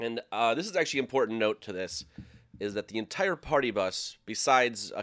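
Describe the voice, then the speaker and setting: In a very clean recording with a silent background and a dry, close sound with no echo, a man with an American accent uses a normal speaking voice at a medium pitch and a moderate pace. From Minnesota. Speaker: sports TV production worker. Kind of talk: storytelling.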